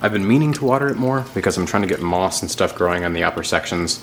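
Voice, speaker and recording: Lively in intonation and fairly low in pitch, a man talks at a very fast pace over noticeable background noise. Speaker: aquarium and reptile hobbyist youtuber. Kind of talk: casual video tour. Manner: loud; casual, filler-heavy.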